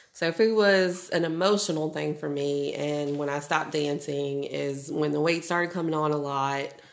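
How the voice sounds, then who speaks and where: A woman's very deep, low voice at a moderate pace, with fairly even intonation, hardly any pauses and audible room echo. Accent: American. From New Orleans. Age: 30s. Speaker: stay-at-home mom. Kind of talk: casual chat.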